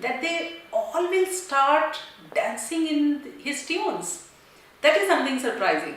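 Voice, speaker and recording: A woman speaks at a high pitch with lively intonation and a fairly slow pace. Noticeable background noise runs underneath. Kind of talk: testimonial speech.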